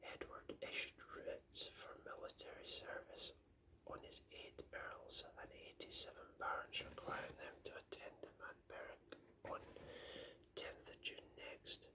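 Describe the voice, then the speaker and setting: The speaker whispers in a calm tone at a fairly slow pace. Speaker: ASMR book reader. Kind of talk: soft-spoken ASMR book reading. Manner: soft-spoken, calm.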